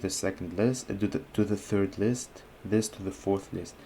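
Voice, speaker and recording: A man with a non-native accent speaks at a moderate pace in a fairly low pitch with a dark, mellow tone, recorded very cleanly against a silent background. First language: not English. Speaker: chess and coding YouTuber. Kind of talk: live coding and chess commentary. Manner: halting, many fillers.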